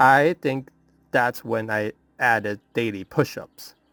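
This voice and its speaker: Male voice, dry and close with no echo, music in the background. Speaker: self-improvement YouTuber. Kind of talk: scripted narration. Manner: soft-spoken.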